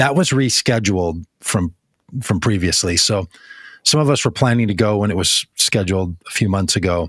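This man's voice sits very deep and low, with ordinary pitch variation at a moderate pace. The sound is dry and close with no echo, on a very clean recording against a silent background. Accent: American. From US Midwest, Minnesota. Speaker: podcast host. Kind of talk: casual chat.

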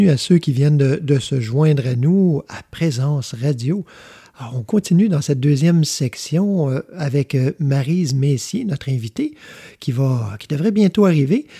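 In a very clean recording with a silent background and a dry, close sound without echo, a man speaks at a fairly slow pace with a fairly high pitch, lively intonation, a somewhat breathy quality and a dark, mellow tone. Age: 50s. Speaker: radio host. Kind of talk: spiritual talk show monologue. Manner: halting.

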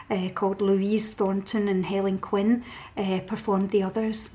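Speaking at a fairly slow pace, a woman with a west of Scotland accent keeps a medium pitch and a monotone, flat intonation. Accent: Scottish (west of Scotland). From Scotland, Paisley. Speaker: novelist and poet. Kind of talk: casual interview.

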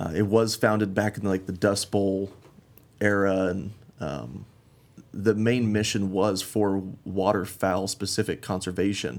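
A man with an American accent speaks at a fairly slow pace with a fairly low pitch. It is a plain, everyday voice. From western Colorado (Glenwood Springs). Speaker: conservation group volunteer chairman. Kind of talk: casual interview. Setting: studio.

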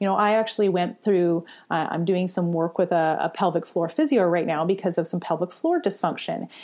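A woman with a fairly low pitch and an ordinary speaking voice talks at a fairly quick pace, her pitch variation ordinary and her loudness very even. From Canada. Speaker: fitness coach and author. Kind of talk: interview.

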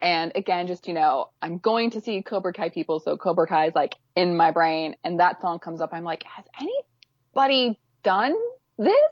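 A woman speaks in a normal speaking voice at a fairly low pitch and a moderate pace. Her pitch varies in an ordinary way while her loudness swings widely. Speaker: fan video editor and fanfic writer. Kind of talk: casual chat.

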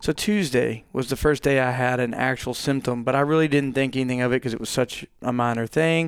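Speaking with a plain, everyday voice and an American accent, a man talks at a fairly quick pace and medium pitch, with fairly even intonation and hardly any pauses. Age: 30s. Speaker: guest. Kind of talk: casual chat. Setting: studio.

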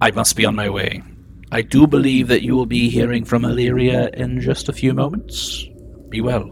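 Clear background noise runs under a put-on character voice delivered at a moderate pace. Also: man. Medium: actual play. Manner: dry, wry.

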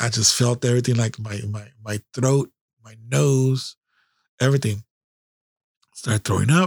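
A man with an American accent, medium pitch and fairly even intonation, in a very clean recording with a silent background and a dry, close sound with no echo. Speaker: podcast host and army veteran. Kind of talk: casual storytelling monologue. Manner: hyped up, sometimes stumbling; casual, profane.

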